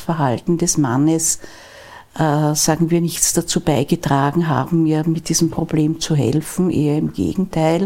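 At a fairly slow pace, a woman with a dark, mellow tone talks in a fairly low voice with fairly even intonation. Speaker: lawyer. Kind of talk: interview. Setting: live event forum. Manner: quiet.

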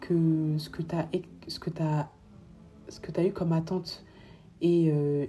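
A woman's very deep, low-pitched voice with monotone, flat intonation. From Paris, France. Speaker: podcast host. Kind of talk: solo podcast monologue. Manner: halting.

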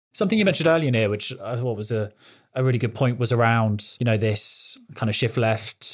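Recorded very cleanly against a silent background, a man with a British accent talks fairly quickly in a medium pitch. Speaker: IT security technologist. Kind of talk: podcast interview.

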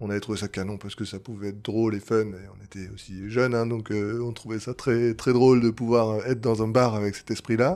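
A man talks at a fairly quick pace with hardly any pauses, his loudness swinging widely. His tone is dark and mellow, his pitch medium and his intonation fairly even. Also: very clean recording, silent background. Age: 30s. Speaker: bar franchise co-founder. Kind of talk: interview. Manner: hesitant.

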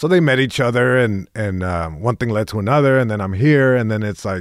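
In a Spanish accent, a man talks at a fairly quick pace with lively intonation and a fairly low pitch. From Long Beach, California (Eastside). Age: 30s. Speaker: stand-up comedian. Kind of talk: casual interview chat.

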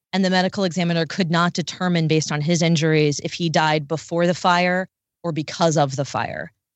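A woman with an American accent and an unremarkable speaking voice talks at a fairly quick pace, her fairly low pitch held in fairly even intonation. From Maryland, near Washington, D.C. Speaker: radio news reporter. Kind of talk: podcast interview.

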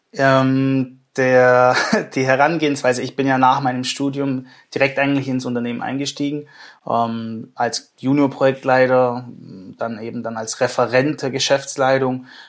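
A man speaks at a medium pitch and a fairly slow pace. His intonation is flat and monotone. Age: 20s. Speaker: managing director of engineering firm. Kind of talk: interview.

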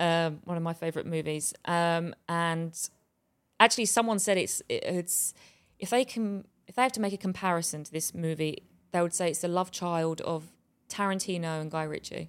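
A woman talks at a moderate pace in a fairly low voice with ordinary pitch variation. The recording is very clean, with a silent background. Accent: southeast English. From southeast England, Bexleyheath. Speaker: actress. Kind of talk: casual interview.

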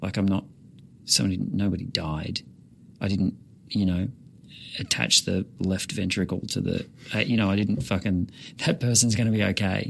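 A man with an Australian accent has a very deep, low pitch and vocal fry. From rural Victoria, Australia. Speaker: comedian and puppeteer. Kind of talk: casual chat.

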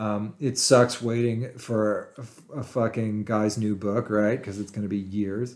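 A plain, everyday voice on a very clean recording with a silent background. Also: man. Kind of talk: casual chat. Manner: profane.

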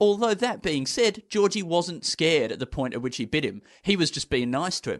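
The voice moves at a fairly quick pace with very wide pitch swings. The sound is dry and close, with no echo. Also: man, high pitch for a man, hardly any pauses. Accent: Australian. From Australia. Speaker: comedian. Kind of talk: casual chat.

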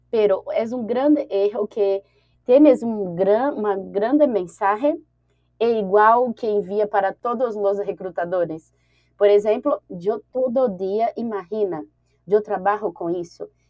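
At a fairly slow pace, a woman talks in an ordinary speaking voice, her pitch varying in an ordinary way. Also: fairly high pitch for a woman. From Brazil, Brasília. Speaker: HR recruiter and digital nomad. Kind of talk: interview.

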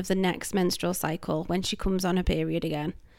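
In a very clean recording with a silent background, a woman with a British accent speaks with fairly even intonation. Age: 30s. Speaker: podcast host. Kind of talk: solo podcast monologue.

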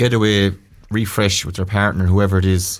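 Speaking at a fairly quick pace, a man with a Tipperary accent has a fairly low pitch. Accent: Irish, Tipperary. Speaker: former county hurler and pundit. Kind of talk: casual sports chat. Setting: studio.

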